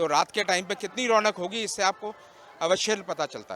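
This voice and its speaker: A man talks at a moderate pace with ordinary pitch variation. There is noticeable background noise. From Meerut. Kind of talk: interview statement.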